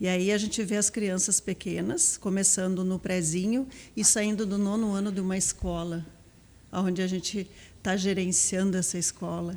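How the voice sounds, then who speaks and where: In a very clean recording with a silent background, a woman of medium pitch speaks at a moderate pace with a dark, mellow tone and fairly even intonation. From southern Brazil, Palmeira das Missões, Rio Grande do Sul. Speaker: school vice-principal, educator. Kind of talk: podcast interview.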